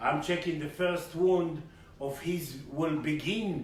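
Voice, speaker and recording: With an Israeli accent and a high pitch, a man speaks at a moderate pace amid noticeable background noise and audible room echo. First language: Hebrew. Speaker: spiritual teacher and healer. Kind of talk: spiritual lecture. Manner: halting.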